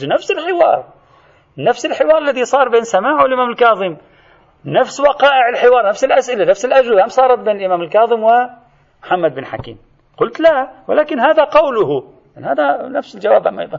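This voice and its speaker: This man's voice sits at an extremely high pitch, with an animated tone and very wide swings in pitch. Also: moderate pace. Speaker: religious scholar teaching a seminary course. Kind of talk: lecture.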